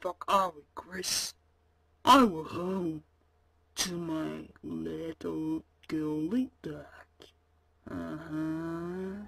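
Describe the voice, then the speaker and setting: A cartoonish character voice at a middle pitch moves at a very slow pace with long, frequent pauses. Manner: crude, blunt.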